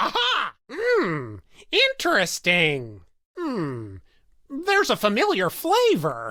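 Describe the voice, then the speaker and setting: This is a man doing a put-on character voice. He talks at a very slow pace. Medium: video game. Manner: chatty, rambling, hesitant.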